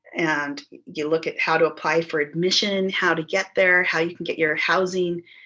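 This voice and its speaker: In a fairly low pitch, a woman speaks with a bright, sharp tone and monotone, flat intonation. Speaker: local historian presenting a project. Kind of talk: presentation over video call. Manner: fast.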